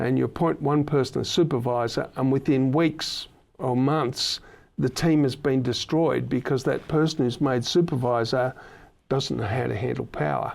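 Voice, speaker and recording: Recorded very cleanly against a silent background, a man with an Australian accent speaks at a moderate pace, his medium pitch carried by fairly even intonation. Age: 60s. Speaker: podcast host. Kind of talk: casual chat.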